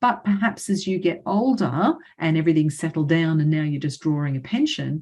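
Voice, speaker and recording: A woman with an Australian accent speaks fairly quickly in a fairly low, somewhat breathy voice with lively intonation. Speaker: financial adviser. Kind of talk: webinar presentation. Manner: fast; hesitant fillers.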